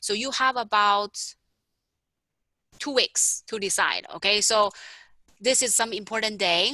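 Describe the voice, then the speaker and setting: A woman speaks at a moderate pace in a fairly high pitch, her tone bright and sharp with ordinary pitch variation. The recording is very clean, with a silent background and a dry, close sound with no echo. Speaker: math instructor. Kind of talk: lecture.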